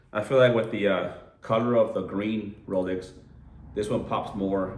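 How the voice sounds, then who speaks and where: A man with an American accent talks with fairly even intonation. Audible room echo is present. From Southern California (San Diego). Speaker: watch enthusiast vlogger. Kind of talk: casual video review. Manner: casual, filler-heavy.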